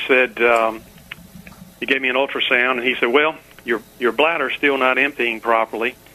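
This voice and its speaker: A man's fairly quick speech, with fairly even intonation, plays over noticeable background noise. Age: 60s. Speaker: caller. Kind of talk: radio call-in. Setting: phone call. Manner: hesitant, many fillers.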